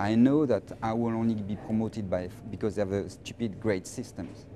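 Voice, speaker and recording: A man's fairly low voice at a moderate pace, with a French accent and fairly even intonation. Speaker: finance professional. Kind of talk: interview. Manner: halting, many repetitions.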